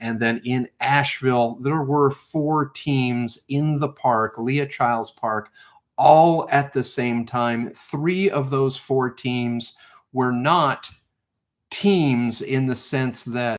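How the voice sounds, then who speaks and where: Speaking at a very slow pace, a man holds a medium pitch. His pitch varies an ordinary amount. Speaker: live stream host of treasure hunt game. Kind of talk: live stream casual talk. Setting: live stream.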